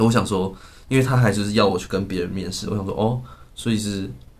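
Through audible room echo, a man with a fairly low pitch speaks at a very fast pace, his intonation fairly even. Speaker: podcast co-host. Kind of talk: casual chat. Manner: frequent laughter.

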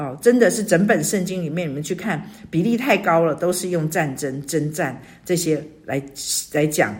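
The voice is somewhat breathy, at a moderate pace. Its pitch varies in an ordinary way. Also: woman. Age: 60s. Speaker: church small-group leader. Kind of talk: devotional sharing.

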